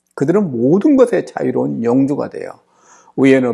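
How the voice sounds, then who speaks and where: This is a man speaking. His pace is moderate. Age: 60s. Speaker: seminary professor and pastor. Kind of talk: lecture.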